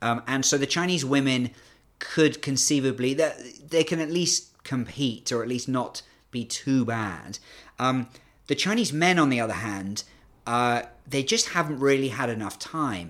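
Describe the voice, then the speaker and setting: A man with a British accent and a medium pitch, ordinary pitch variation and a fairly slow pace, on a very clean recording with a silent background. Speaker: China sports analyst. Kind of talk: interview chat. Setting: studio.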